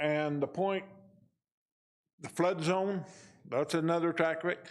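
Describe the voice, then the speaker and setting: Speaking at a fairly slow pace, a man with an American accent uses a high voice and fairly even intonation. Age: 70s. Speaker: local resident speaking at public hearing. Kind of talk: public comment at county meeting.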